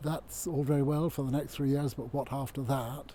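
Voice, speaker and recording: The voice is dark, mellow, and somewhat breathy. Its intonation is monotone and flat. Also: man. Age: 80s+. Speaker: community woodland volunteer. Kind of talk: interview. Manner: halting.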